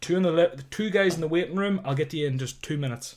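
A man talks at a fairly high pitch with ordinary pitch variation and a somewhat breathy sound. The recording is very clean, with a silent background. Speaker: live streamer on football trading. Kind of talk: live stream chat. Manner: fast.

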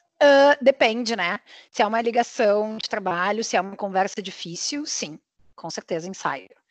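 A woman with an ordinary speaking voice talks at a moderate pace with a fairly high pitch, lively intonation and big swings in loudness, in a dry, close sound with no echo over a quiet background. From southern Brazil, Porto Alegre. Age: 30s. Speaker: podcast co-host. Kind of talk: casual chat.

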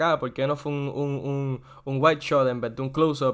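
Recorded very cleanly against a silent background, a man talks at a moderate pace. He has an ordinary speaking voice pitched fairly high. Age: 20s. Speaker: podcast co-host. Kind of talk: casual chat.

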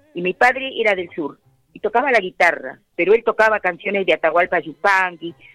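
With music in the background, a woman speaks at a moderate pace in a medium pitch with ordinary pitch variation. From Buenos Aires province, Argentina. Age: 80s+. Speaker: tango singer. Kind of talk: radio interview. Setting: phone call.

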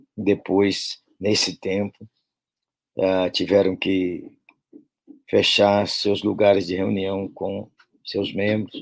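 A man talks very slowly, stopping often for long pauses. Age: 60s. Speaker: pastor. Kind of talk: sermon-style talk to pastors. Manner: animated, folksy.

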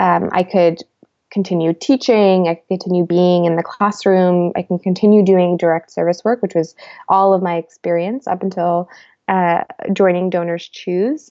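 This woman has a fairly low pitch and fairly even intonation, speaking at a moderate pace. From US (raised from age five, born in Bosnia). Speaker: data scientist. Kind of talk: interview.

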